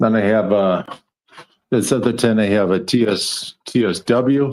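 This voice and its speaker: Speaking at a fairly slow pace in a normal speaking voice, a man holds a medium pitch and very even loudness. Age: 60s. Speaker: livestream panelist, home grower. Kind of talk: casual chat.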